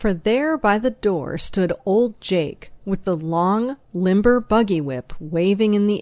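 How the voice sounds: A natural reading voice with ordinary pitch variation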